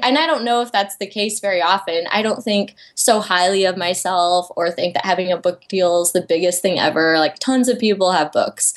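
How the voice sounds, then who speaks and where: An unremarkable speaking voice from a woman with an American accent, medium pitch, ordinary pitch variation, moderate pace and hardly any pauses. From US Midwest, Iowa. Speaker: illustrator and author. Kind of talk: casual chat.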